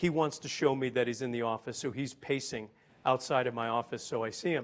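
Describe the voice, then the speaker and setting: An ordinary speaking voice from a man with an American accent, medium pitch, fairly even intonation and a fairly quick pace. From US Northeast (Boston). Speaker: business executive. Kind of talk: panel talk.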